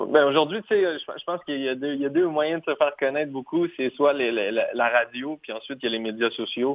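An unremarkable speaking voice, fairly quick with hardly any pauses and ordinary pitch variation. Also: man, fairly high pitch for a man. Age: 20s. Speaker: singer-songwriter. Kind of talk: interview.

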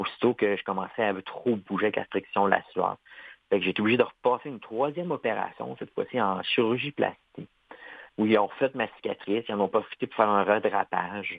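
A man with a normal speaking voice talks at a fairly quick pace. His pitch is fairly low and varies in an ordinary way. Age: 40s. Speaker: amputee athlete, triathlete. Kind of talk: interview.

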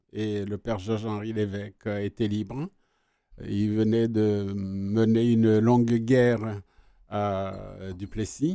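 A man's fairly low, dark and mellow voice at a very slow pace, monotone and flat, broken by long, frequent pauses, on a very clean recording with a silent background. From Rwanda. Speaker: retired journalist. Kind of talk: radio interview. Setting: studio.

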